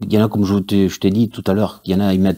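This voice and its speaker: Against a quiet background, a man with a very deep, low pitch and a dark, mellow tone speaks at a moderate pace. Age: 40s. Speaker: church audiovisual volunteer. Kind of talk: testimony. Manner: halting, many fillers. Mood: earnest, faith testimony. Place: studio.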